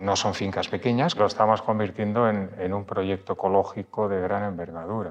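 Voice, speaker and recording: Against noticeable background noise, a man talks with a very deep, low pitch. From Spain, Madrid. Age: 60s. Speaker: publisher and writer. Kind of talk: interview. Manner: halting.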